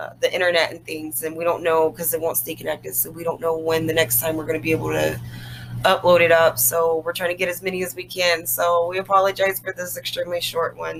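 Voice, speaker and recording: The speech comes at a very fast pace. Noticeable background noise is present. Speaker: podcast co-host. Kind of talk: casual chat.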